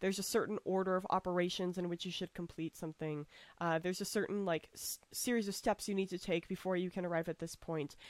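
A woman with an American accent talks at a very fast pace, medium pitch and fairly even intonation. The very clean recording has a silent background and a dry, close sound with no echo. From United States. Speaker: podcast host. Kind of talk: casual chat.

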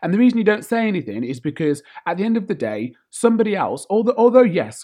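Here is a man with a British accent and a dark, mellow tone. His pitch swings very widely. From UK. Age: 30s. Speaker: podcast host. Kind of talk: casual monologue rant.

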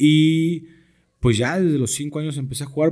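At a moderate pace, a man with a Mexican accent speaks in a dark, mellow tone. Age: 30s. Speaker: sports broadcaster and American football coach. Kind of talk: casual chat.

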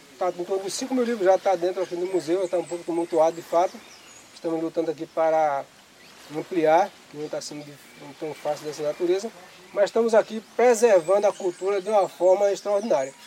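A man's high-pitched voice at a fairly quick pace, with ordinary pitch variation, big swings in loudness and noticeable background noise. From Pernambuco, Brazil (rural south coast). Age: 50s. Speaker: fisherman and community museum founder. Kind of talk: interview testimony.

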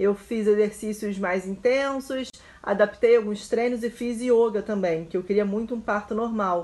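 Female voice of medium pitch, fairly even in intonation, at a moderate pace. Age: 30s. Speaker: journalist and new mother. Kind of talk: testimony.

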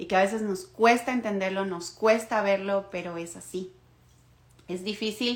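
A woman with a plain, everyday voice speaks at a fairly slow pace in a medium pitch, with big swings in loudness. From Ecuador. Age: 20s. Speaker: podcast host. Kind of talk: solo monologue podcast.

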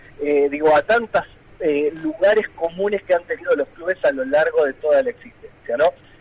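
A man's high pitch shifts in an ordinary way while noticeable background noise plays underneath. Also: moderate pace, dry, close sound with no echo. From Tandil, Buenos Aires province, Argentina. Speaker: history teacher and book author. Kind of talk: radio interview.

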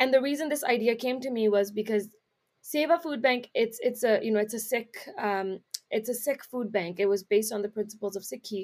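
Speaking in an ordinary speaking voice with a Canadian accent, a woman moves at a fairly quick pace, her pitch fairly high with ordinary pitch variation. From Canada, Brampton Ontario, Punjabi community. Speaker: nonprofit founder. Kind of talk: casual interview.

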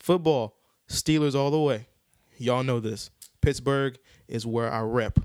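Speaking with an American accent at a medium pitch, a man talks at a fairly slow pace with fairly even intonation and long, frequent pauses. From Houston, Texas. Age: 20s. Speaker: podcast co-host. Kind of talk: casual chat.

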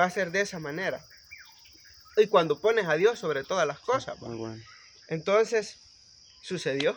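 A man's high voice with lively intonation, a moderate pace and long, frequent pauses. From El Salvador, Guatemalan-Salvadoran family. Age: young. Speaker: electrical engineer and municipal councillor. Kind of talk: casual chat.

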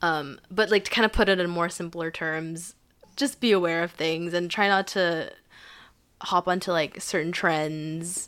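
A woman has an unremarkable speaking voice with a fairly low pitch and fairly even intonation. She talks at a fairly slow pace on a very clean recording with a silent background. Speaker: podcast co-host, university student. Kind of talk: casual chat.

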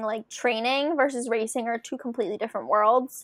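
Fairly high-pitched, a woman with an unremarkable speaking voice talks at a moderate pace with ordinary pitch variation. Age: 20s. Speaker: emergency manager and marathon runner. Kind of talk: casual interview chat.

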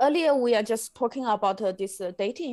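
In a very clean recording with a silent background, a woman with a Chinese accent speaks in a dark, mellow tone with ordinary pitch variation. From China. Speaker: podcast host. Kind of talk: casual interview chat. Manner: halting, many fillers.

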